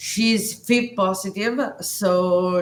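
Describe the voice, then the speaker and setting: In a Spanish accent, a woman talks with intonation that stays fairly even. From Chile. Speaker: cat owner, adventure content creator. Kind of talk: podcast interview. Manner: halting, many fillers.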